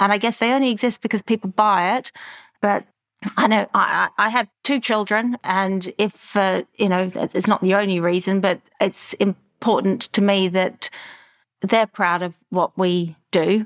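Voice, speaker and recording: In a very clean recording with a silent background, a woman speaks at a fairly slow pace in a medium pitch, with very even loudness, fairly even intonation and a dry, close sound with no echo. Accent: Australian. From Australia, Melbourne. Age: 50s. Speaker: clothing brand founder. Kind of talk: interview.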